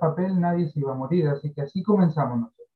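A man with a Chilean accent, fairly high-pitched, with ordinary pitch variation. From southern Chile, Carahue (Araucanía). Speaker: social entrepreneur. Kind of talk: interview. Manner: halting, many fillers and repetitions.

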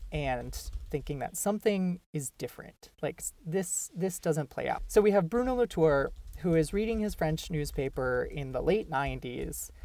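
Woman with an American accent, a dark, mellow tone and fairly low pitch, lively intonation at a moderate pace, on a very clean recording with a silent background. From Minnesota. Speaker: podcast host, graduate student. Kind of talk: casual discussion podcast.

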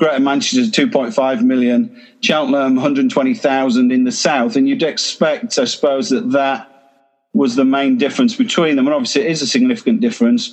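A man's voice with very even loudness and very wide pitch swings. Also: fairly high pitch for a man, moderate pace. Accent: English. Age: 50s. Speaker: church planter. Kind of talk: talk to online group. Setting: video call.

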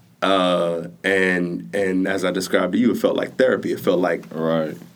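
Ordinary pitch variation at a fairly slow pace. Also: man. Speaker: entrepreneur, podcast creator. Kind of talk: casual chat.

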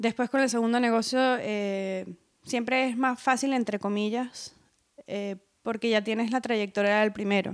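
In a very clean recording with a silent background, a woman with a fairly high voice speaks at a fairly slow pace in a flat monotone. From Venezuela. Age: 30s. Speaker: tattoo artist. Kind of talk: interview. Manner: halting, many repetitions and fillers.

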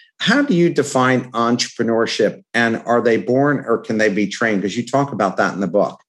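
A man talks at a fairly quick pace. He has a normal speaking voice. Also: medium pitch for a man, ordinary pitch variation. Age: 60s. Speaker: podcast host. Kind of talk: interview.

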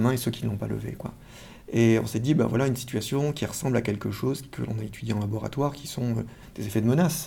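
At a fairly quick pace, a man speaks in a medium pitch with a dark, mellow, somewhat breathy tone and fairly even intonation. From France. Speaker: social psychology professor. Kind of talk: interview. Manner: halting, frequent word repetitions.

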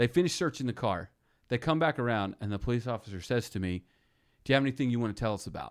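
Animated and very fast, a man at a medium pitch speaks with lively intonation on a very clean recording over a silent background. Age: 30s. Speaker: podcast host. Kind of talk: casual chat.

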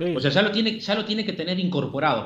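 A man speaks with a Uruguayan accent and lively intonation. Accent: Rioplatense Spanish (Uruguayan). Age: 40s. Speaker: psychologist and author. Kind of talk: interview. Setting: phone call. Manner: fast.

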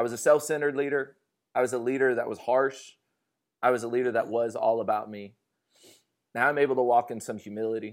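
An American-accented man with a medium pitch speaks very fast, with long, frequent pauses and fairly even intonation. The recording is very clean, with a silent background. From US West Coast, Fresno, California. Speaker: pastor. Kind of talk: interview. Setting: home kitchen with small live audience.

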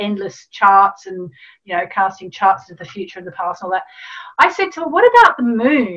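In an Australian accent, a woman speaks with a bright, sharp tone. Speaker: astrologer and author. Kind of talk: interview.

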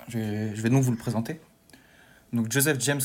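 In an ordinary speaking voice, a man talks at a moderate pace with a medium pitch and fairly even intonation. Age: 20s. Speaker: history student and podcast columnist. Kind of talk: casual chat.

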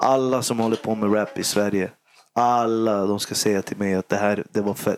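A man talks at a moderate pace with a fairly low pitch. His intonation is monotone and flat. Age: 30s. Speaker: rapper and youth worker. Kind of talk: casual chat. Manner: halting.

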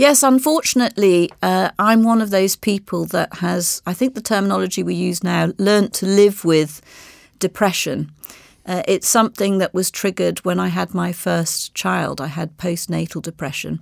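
On a very clean recording with a silent background, a woman with an RP accent speaks at a moderate pace, sounding dry and close with no echo. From Bahamas, then English boarding school. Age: 60s. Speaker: marketing executive. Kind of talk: interview.

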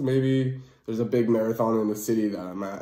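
A man talks fairly slowly, and room echo can be heard around his voice. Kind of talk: casual monologue. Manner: casual, many fillers.

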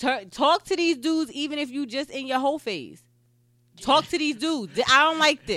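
A raised, projected voice with a bright, sharp tone, ordinary pitch variation and a moderate pace. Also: woman, high pitch for a woman. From New Jersey. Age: 20s. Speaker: podcast co-host. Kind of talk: casual chat.

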